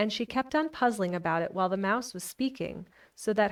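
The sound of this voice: An unforced reading voice comes through here.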